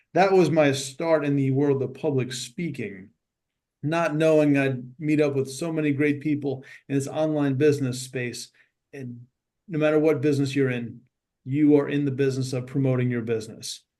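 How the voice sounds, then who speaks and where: A man with a New York accent speaks at a moderate pace in a fairly high pitch. His tone is dark and mellow, and his intonation fairly even. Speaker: speaking coach, Marine veteran. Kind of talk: networking self-introduction.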